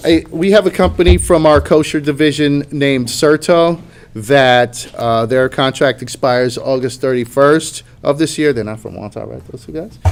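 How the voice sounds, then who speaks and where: Using a normal speaking voice with an American accent, a man talks at a moderate pace and a fairly high pitch, showing ordinary pitch variation and big swings in loudness. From Long Island, New York. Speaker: union official. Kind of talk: meeting report. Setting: union meeting, livestreamed.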